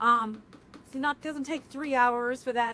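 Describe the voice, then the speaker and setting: A woman with a New York accent projects a raised, high-pitched voice. Her tone is bright and sharp, and her pace is moderate. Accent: New York (Bronx). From New York City, the Bronx. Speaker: restaurant owner. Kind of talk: casual chat, kitchen tour. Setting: restaurant kitchen. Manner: loud.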